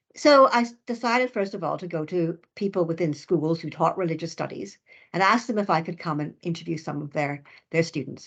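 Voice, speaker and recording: A woman with a Canadian accent speaks at a fairly low pitch against a quiet background. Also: lively intonation, fairly quick pace. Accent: Canadian, noticeable. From Canada. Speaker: professor, researcher. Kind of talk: lecture.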